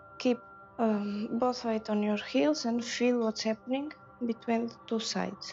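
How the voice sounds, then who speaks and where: Music plays behind a woman whose fairly high pitch shows ordinary variation. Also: fairly slow pace. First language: French. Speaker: yoga teacher. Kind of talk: guided yoga class instruction. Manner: hesitant, with many fillers.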